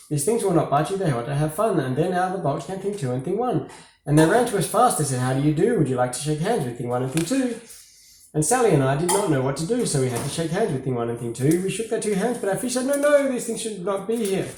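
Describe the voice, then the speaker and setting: Over noticeable background noise, a man with a high voice speaks very fast, his pitch swinging very widely. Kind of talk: children's story reading.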